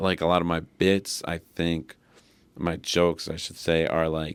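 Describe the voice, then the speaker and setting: The man's voice sits at a very deep, low pitch. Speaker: stand-up comedian. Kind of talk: casual chat. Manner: low energy, plain talking voice; relaxed, filler-heavy.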